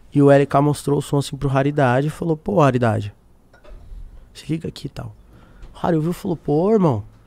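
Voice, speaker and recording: A man talks at a fairly quick pace with ordinary pitch variation and long, frequent pauses. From Brazil. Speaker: singer-songwriter; podcast guest. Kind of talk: casual interview chat. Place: studio. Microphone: studio mic.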